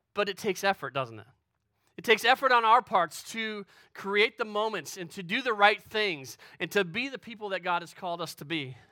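A man with an American accent uses a raised, projected voice with a bright, sharp tone, high pitch, lively intonation and big swings in loudness, going at a fairly quick pace on a very clean recording with a silent background. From Western New York. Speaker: pastor. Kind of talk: sermon.

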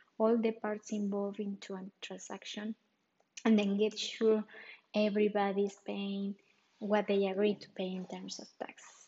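A somewhat breathy woman speaks at a medium pitch and a moderate pace. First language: Spanish. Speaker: real estate advisor. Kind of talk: solo podcast explainer.

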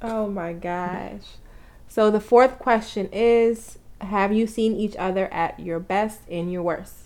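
Speaking at a very slow pace, a woman with a New York accent keeps her intonation fairly even. Her pitch sits in the medium range. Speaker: couple podcast co-host. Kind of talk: casual chat. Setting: home recording, sitting in front of the mic.

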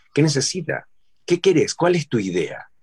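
Lively intonation at a moderate pace, with a dry, close sound and no echo. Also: man. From Argentina. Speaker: voice-over artist and dubbing actor. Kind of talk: casual chat. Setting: home studio, remote call.

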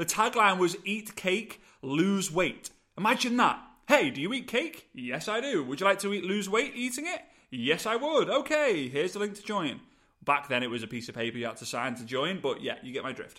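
In a British accent, a man with a high pitch uses a raised, projected voice, a bright, sharp and energetic tone, very wide pitch swings and big swings in loudness. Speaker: podcast host, network marketing coach. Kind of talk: solo podcast monologue, motivational. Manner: animated, fast, passionate; energetic, gesturing.

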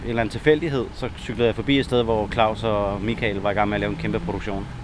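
Over noticeable background noise, a man talks in a fairly low pitch with fairly even intonation. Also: hardly any pauses. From Denmark, Næstved. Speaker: graffiti writer. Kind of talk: casual interview.

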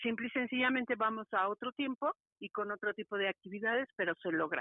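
Speaking at a moderate pace, this woman has a normal speaking voice with a fairly high pitch. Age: 50s. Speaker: karate teacher. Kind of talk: interview. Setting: phone call.

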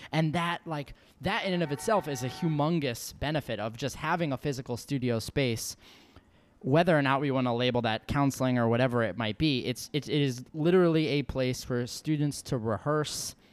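Using a normal speaking voice, a man with an American accent talks at a moderate pace and medium pitch. His pitch varies in an ordinary way, on a very clean recording with a silent background. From New York. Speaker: podcast host and professor. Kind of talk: casual interview chat.

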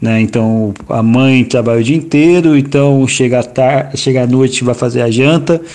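A man talks at a moderate pace in a medium pitch, his intonation fairly even, over noticeable background noise. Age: 40s. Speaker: environmental manager and geographer, urban garden project founder. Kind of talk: interview. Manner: halting, many fillers.

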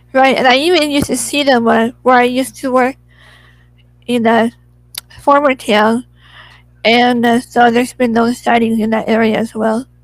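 A woman with an American accent speaks at a high pitch and a moderate pace. Her intonation is monotone and flat, broken by long, frequent pauses. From Southern California. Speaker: podcast host. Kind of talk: casual interview. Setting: video call.

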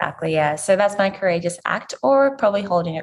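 A woman speaks at a very fast pace with vocal fry. Her pitch is fairly low. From Zimbabwe. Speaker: physiotherapist and podcast host. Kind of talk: interview conversation.

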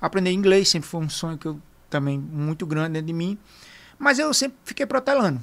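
Speaking at a fairly quick pace, a man with a high voice makes very wide pitch swings on a very clean recording with a silent background. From Arapiraca, Alagoas, Brazil. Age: 30s. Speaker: veterinarian. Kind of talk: casual interview. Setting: studio.

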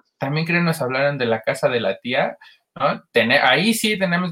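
Lively intonation at a fairly quick pace, in a Mexican accent. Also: man. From State of Mexico. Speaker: podcast co-host. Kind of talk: casual chat.

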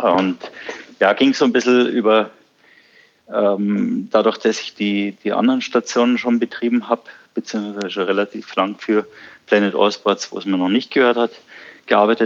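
The speech moves at a moderate pace with fairly even intonation. Long pauses come often. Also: man. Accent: southern German. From southern Germany, Bavaria (Ammersee). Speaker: surf school owner. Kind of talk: podcast interview.

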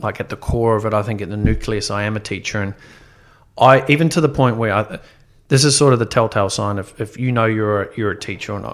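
A man talks with a New Zealand accent. His pace is very fast. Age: young. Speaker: entrepreneur. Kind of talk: casual chat.

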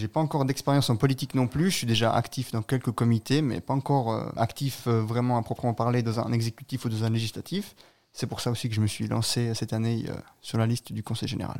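A man talks at a very fast pace with a medium pitch and fairly even intonation. The recording is very clean, with a silent background. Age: 20s. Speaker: local election candidate, student. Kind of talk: radio interview. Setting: studio.

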